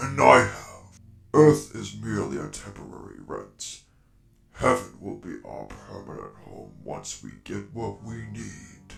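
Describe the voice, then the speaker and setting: A man uses a put-on character voice with a very deep, low pitch. He talks at a fairly slow pace. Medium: audio drama. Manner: formal, measured, grandiloquent.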